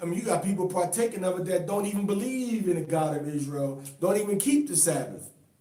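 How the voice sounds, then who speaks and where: A man's high voice at a very fast pace, lively in intonation, amid noticeable background noise. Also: hardly any pauses. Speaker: religious teacher. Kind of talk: bible study teaching.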